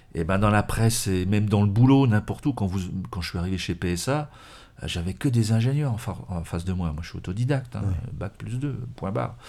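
Over a very clean recording with a silent background, a man with a fairly low pitch and a dark, mellow tone speaks at a fairly quick pace with lively intonation. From France, Morvan. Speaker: automotive journalist and magazine editor. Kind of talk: interview conversation.

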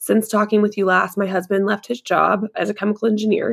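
A woman with vocal fry talks at a moderate pace and a medium pitch. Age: 30s. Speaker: content creator. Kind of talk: casual chat.

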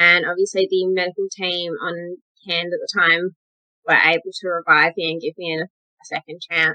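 A woman with an Australian accent speaks at a fairly low pitch and a moderate pace, her bright, sharp tone monotone and flat, with big swings in loudness and a dry, close sound with no echo. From Western Australia. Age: 20s. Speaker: model and pageant winner. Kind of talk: interview.

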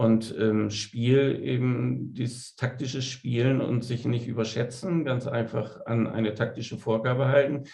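The tone is dark and mellow, somewhat breathy, with fairly even intonation. The pace is fairly slow, with hardly any pauses. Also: man, medium pitch for a man. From Bremen, northern Germany. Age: 50s. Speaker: veterinarian and amateur golfer. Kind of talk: interview. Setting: studio.

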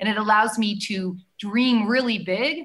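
With a Canadian accent, a woman speaks at a moderate pace and medium pitch with ordinary pitch variation. Her tone is bright and sharp. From Canada. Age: 40s. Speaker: former music TV host and political candidate. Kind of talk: casual interview.

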